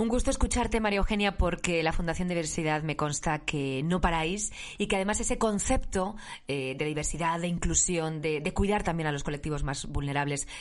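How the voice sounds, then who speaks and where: Lively intonation marks a woman talking at a fairly quick pace in a fairly low pitch. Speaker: podcast host. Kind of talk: interview. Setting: home studio.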